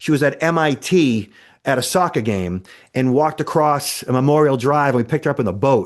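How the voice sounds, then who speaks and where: Against a quiet background, a man with a Boston accent speaks fairly quickly in a fairly high, animated tone. His intonation is lively while his loudness stays very even. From Boston, Massachusetts. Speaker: cybersecurity expert. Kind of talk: podcast interview.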